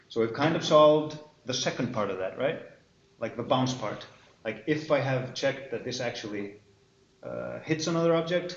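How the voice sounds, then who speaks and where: With audible room echo, a man with an Icelandic accent speaks with ordinary pitch variation and long, frequent pauses. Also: medium pitch for a man, moderate pace. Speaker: university lecturer. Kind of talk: lecture. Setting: classroom with students.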